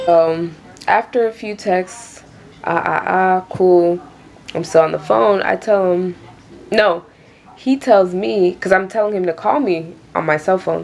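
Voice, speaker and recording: With an American accent, a woman speaks at medium pitch with ordinary pitch variation, at a fairly slow pace and with long, frequent pauses. Noticeable background noise is present. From Queens, New York. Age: 20s. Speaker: YouTuber. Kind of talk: casual storytime talk to camera.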